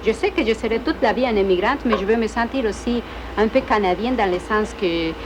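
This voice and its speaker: Against noticeable background noise, a woman with a Spanish accent speaks fairly quickly in a fairly high voice, with ordinary pitch variation. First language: Spanish (speaking French). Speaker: immigrant student. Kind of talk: interview; casual chat. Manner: halting.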